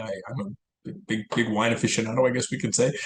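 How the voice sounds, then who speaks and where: A man's medium-pitched voice at a fairly quick pace with ordinary pitch variation. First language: Italian. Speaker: financial advisor and podcast co-host. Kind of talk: casual chat. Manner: halting, many repeated words.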